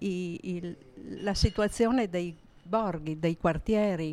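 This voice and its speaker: On a very clean recording with a silent background, a woman speaks very slowly with ordinary pitch variation. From Gorizia, northeastern Italy. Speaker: neighbourhood resident and storyteller. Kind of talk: casual chat.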